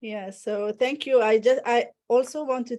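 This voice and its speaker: A woman with a non-native accent speaks at a moderate pace in a dark, mellow tone with ordinary pitch variation. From Morocco. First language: Arabic and French. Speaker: audience participant, NLP practitioner. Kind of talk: live Q&A comment. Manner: halting, many fillers.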